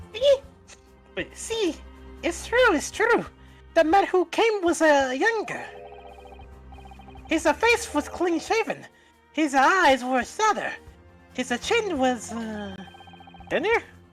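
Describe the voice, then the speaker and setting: A put-on character voice at a fairly slow pace, with long, frequent pauses and faint music in the background. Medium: audio drama. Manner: rambling, hesitant fillers.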